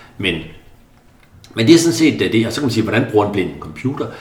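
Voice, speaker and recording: A man is speaking in a space with audible room echo. Noticeable background noise is present too. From central Jutland, Denmark. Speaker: Paralympic swimmer. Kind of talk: interview conversation. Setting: apartment. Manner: halting, many fillers.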